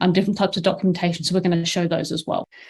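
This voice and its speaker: A woman with a British accent over a quiet background. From England. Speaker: marketing operations manager, conference presenter. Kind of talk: conference presentation. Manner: frequent fillers (um).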